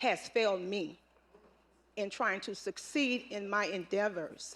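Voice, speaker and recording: Speaking in an American accent, a woman with an ordinary speaking voice talks at medium pitch and a fairly slow pace with ordinary pitch variation. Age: 60s. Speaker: public commenter, community volunteer. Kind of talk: public comment at board meeting. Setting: public meeting with microphone.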